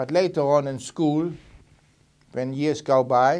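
A man is speaking here. He talks with a German accent. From Germany, Berlin; Germany. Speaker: Holocaust survivor. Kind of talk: testimony. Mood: calm, reflective, serious. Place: studio.

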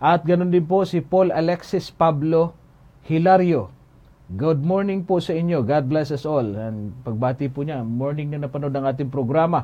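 A somewhat breathy man speaks with a fairly high pitch, ordinary pitch variation and a moderate pace. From Philippines. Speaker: Bible teacher. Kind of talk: Bible Q&A livestream. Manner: formal. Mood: calm, earnest. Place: studio.

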